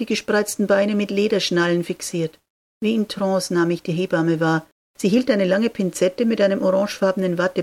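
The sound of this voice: An unforced reading voice with fairly even intonation against a quiet background.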